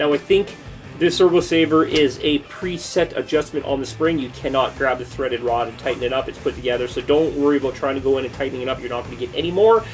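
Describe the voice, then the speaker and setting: Over music in the background, a man talks at a very fast pace in an energetic tone, his fairly high pitch showing ordinary variation. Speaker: RC hobby YouTuber. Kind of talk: product review. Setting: workbench. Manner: casual, energetic.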